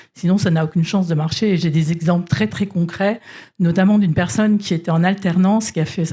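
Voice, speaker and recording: Her somewhat breathy voice has a dark, mellow tone, a fairly low pitch for a woman and fairly even intonation, and she talks at a very fast pace. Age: 60s. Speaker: corporate executive. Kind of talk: panel discussion.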